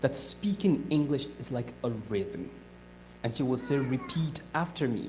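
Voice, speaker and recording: With a non-native accent, this voice moves along at a moderate speed. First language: not English. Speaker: guest speaker. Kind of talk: talk to audience.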